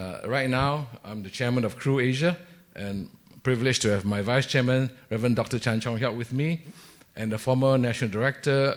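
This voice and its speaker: Talking at a fairly quick pace, a man uses a medium pitch with ordinary pitch variation. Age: 60s. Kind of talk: panel discussion. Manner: hesitant, many fillers.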